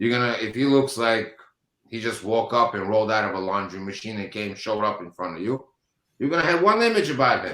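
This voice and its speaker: A man speaks at a very fast pace with a non-native accent. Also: medium pitch for a man, ordinary pitch variation. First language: not English. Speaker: business owner. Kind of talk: panel discussion. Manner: halting.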